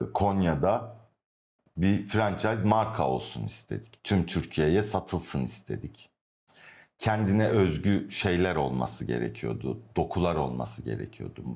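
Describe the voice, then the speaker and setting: A man with a very deep, low pitch moves through very wide pitch swings at a fairly slow pace. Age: 30s. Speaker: architect. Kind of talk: interview. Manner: hesitant, with fillers.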